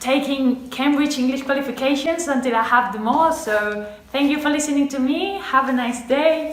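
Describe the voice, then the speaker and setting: With a Spanish accent, a woman speaks at a high pitch with ordinary pitch variation, heard with audible room echo and noticeable background noise. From Spain. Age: 20s. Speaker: medical student. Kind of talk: personal testimonial to camera.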